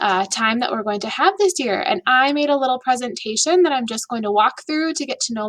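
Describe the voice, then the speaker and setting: With lively intonation and an upbeat tone, a woman speaks in a high pitch with an Upper Midwest accent. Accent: Upper Midwest American. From Minnesota, US. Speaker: elementary school teacher. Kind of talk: video presentation to students and families. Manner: casual and upbeat.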